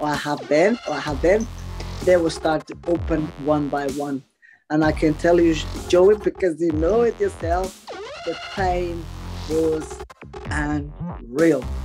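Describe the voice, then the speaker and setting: Music plays in the background as a woman speaks. Her pace is very slow, with long, frequent pauses. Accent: Portuguese. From Portugal. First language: Portuguese. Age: 40s. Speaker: property developer. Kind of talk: interview answer.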